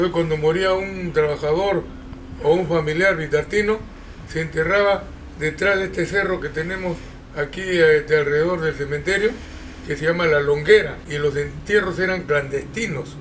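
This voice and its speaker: A man with a fairly high-pitched voice talks at a moderate pace with fairly even intonation over noticeable background noise. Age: 80s+. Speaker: retired textile workers' association president. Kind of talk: interview testimony.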